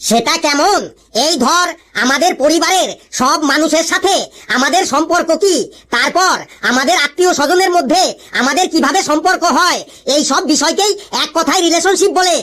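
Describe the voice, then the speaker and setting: An extremely high, cartoonish character voice. It moves at a moderate pace. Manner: scolding, sarcastic.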